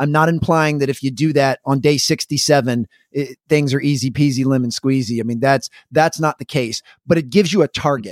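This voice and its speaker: In an ordinary speaking voice, a man with fairly high pitch and ordinary pitch variation speaks at a fairly quick pace, the sound dry and close with no echo. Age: 40s. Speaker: performance coach. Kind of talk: casual chat.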